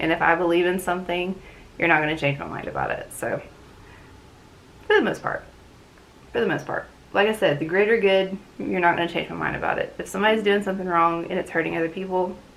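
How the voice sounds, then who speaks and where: This woman talks at a very fast pace yet leaves long, frequent pauses, her medium pitch carrying fairly even intonation. Noticeable background noise sits behind her. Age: 30s. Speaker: booktube channel host. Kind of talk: casual talk to camera. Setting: talking to a camera at home.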